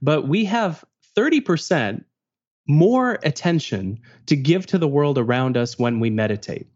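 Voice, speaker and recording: A man with a Canadian accent speaks in a normal speaking voice. His pace is moderate and his intonation lively. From Canada. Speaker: productivity author. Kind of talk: interview.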